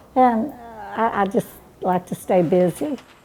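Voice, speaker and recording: The voice belongs to a woman. It has a dark, mellow tone. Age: 90s. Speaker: fast food worker. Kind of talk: interview testimony.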